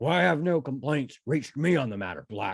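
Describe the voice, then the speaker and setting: A man does a put-on character voice, gruff and raspy, at medium pitch. He speaks at a moderate pace with lively intonation. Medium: read story. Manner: gruff, ominous.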